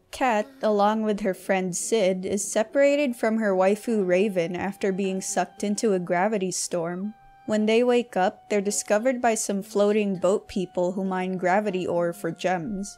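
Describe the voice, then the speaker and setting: Over music in the background, a woman with a medium pitch talks at a moderate pace, with fairly even intonation and hardly any pauses. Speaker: video game reviewer. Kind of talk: game review voice-over.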